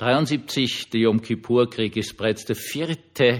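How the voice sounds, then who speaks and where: Speaking at a very slow pace, the man is captured on a very clean recording against a silent background. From Austria, Vienna. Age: 60s. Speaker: pastor and podcaster. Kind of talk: personal monologue podcast. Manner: informal, with filler hesitations.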